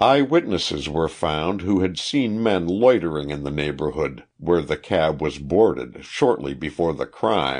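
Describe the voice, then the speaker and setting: A man's very deep, low voice with vocal fry and lively intonation at a fairly slow pace, over a quiet background. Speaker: audiobook narrator. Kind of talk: audiobook reading of a historical true-crime narrative. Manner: even, measured, formal narrator pace.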